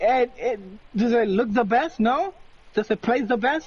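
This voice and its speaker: A non-native accent at a moderate pace. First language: not English. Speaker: podcast co-host. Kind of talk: casual chat.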